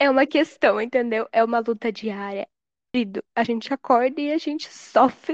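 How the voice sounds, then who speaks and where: A woman with a southern Brazilian accent speaks at a moderate pace and a high pitch. Her pitch varies in an ordinary way, and the sound is dry and close, with no echo. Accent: southern Brazilian (gaúcho). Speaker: podcast guest. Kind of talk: casual chat.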